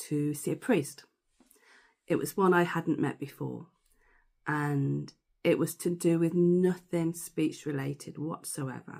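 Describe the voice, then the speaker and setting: Speaking at a fairly slow pace with a British accent, a woman has a very deep, low pitch, a dark, mellow tone and fairly even intonation. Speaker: stammering course tutor. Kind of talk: personal testimony.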